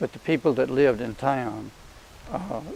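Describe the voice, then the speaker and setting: A man with an Alabama accent, medium pitch and a moderate pace. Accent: Southern US (Alabama). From Crenshaw County, Alabama. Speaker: Auburn alumnus, great-grandfather. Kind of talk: interview answer.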